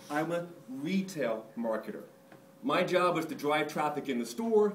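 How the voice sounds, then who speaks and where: Audible room echo and noticeable background noise accompany a man whose high voice has lively intonation. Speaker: marketer giving a conference talk. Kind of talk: conference presentation. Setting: stage with audience. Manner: humorous, casual.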